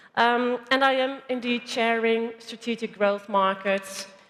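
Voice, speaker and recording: Speaking with a Dutch accent, a woman talks at a fairly slow pace with fairly even intonation. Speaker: panel moderator. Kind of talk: panel discussion.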